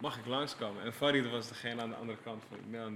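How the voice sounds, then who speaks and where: Talking at a very fast pace, a man with a medium pitch keeps his intonation fairly even while audible room echo surrounds him. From Amsterdam-Noord, Netherlands. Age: 30s. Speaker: creative director for music videos and album covers. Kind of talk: casual podcast interview.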